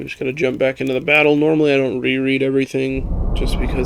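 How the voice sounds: Reading in a natural voice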